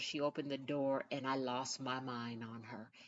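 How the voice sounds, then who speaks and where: The woman here is soft-spoken. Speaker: podcast host. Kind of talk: casual monologue. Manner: soft-spoken, low-pitched.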